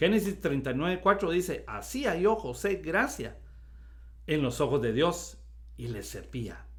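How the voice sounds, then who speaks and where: This man speaks at a fairly slow pace. Audible echo fills the room around him. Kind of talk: Bible study talk.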